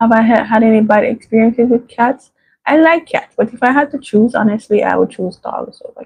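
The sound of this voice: A soft-spoken woman talks at a fairly quick pace and a fairly high pitch, her breathy voice carrying vocal fry, a slightly husky edge, a slightly mellow tone and ordinary pitch variation.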